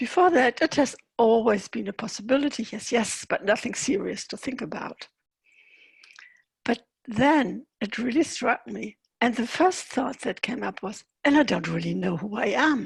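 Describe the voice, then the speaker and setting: Speaking at a moderate pace, a woman uses a fairly high pitch and lively intonation, with vocal fry in her voice. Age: 60s. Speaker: author and speaker. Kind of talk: interview.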